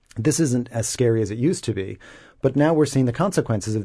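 The voice has a dark, mellow tone and an American accent, with lively intonation. The background is quiet. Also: man. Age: 40s. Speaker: commentator. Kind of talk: radio panel discussion. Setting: radio studio.

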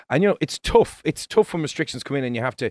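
In an Irish accent, a man speaks at a very fast pace, the sound dry and close with no echo. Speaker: radio host. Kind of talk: casual radio interview.

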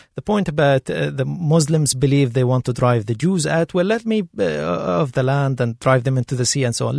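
A man with an Arabic accent speaks at a moderate pace and medium pitch. The sound is dry and close, with no echo. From Gaza, Palestine. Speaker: assistant professor. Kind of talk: panel discussion.

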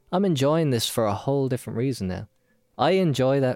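A man with an Irish accent speaks at a fairly quick pace. The recording is very clean and dry, close with no echo, and the background is silent. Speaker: podcast host. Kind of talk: casual chat. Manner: animated.

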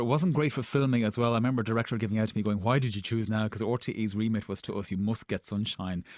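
Here a man speaks with an Irish accent. The recording is very clean, with a silent background. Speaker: TV producer. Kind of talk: casual interview chat.

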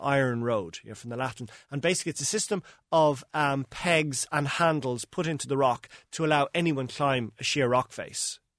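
A man with an Irish accent, ordinary pitch variation, and a dry, close sound with no echo on a very clean recording over a silent background. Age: 40s. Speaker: travel writer. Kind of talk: radio interview.

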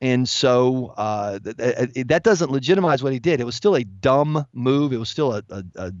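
With a plain, everyday voice and an American accent, a man talks at a medium pitch and moderate pace, hardly pausing, his loudness swinging widely. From USA. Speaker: political commentator. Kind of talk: radio interview.

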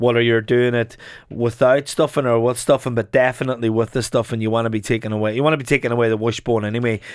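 With an Irish midlands accent, a man talks at a very fast pace and medium pitch, his intonation monotone and flat. The recording is very clean, with a silent background. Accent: Irish midlands (Longford). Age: 40s. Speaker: chef. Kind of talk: casual chat.

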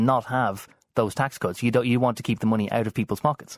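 A man with an Irish accent talks at a very fast pace in a medium pitch, his voice dry and close with no echo on a very clean recording with a silent background. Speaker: radio journalist. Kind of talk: political interview.

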